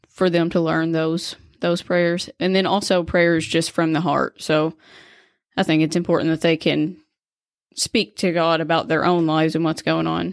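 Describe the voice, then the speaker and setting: A woman in a Kentucky accent, fairly low in pitch, monotone and flat, at a moderate pace and very even loudness, in a very clean recording with a silent background. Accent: Kentucky Southern US. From Kentucky, US. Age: 20s. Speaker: nurse and stay-at-home mom. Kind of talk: faith testimony, partly read from prepared text.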